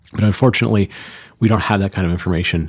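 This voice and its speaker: This man's voice sits very deep and low, with fairly even intonation. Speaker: podcast host. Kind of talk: solo podcast monologue.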